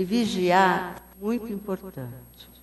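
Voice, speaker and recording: Lively intonation marks this woman's medium-pitched voice. Her pace is very slow. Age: 70s. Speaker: spiritist lecturer. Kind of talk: lecture.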